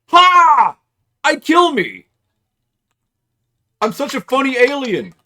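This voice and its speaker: A put-on character voice speaks at a high pitch and a fairly slow pace. Long, frequent pauses break up the delivery. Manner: gleeful, self-pleased.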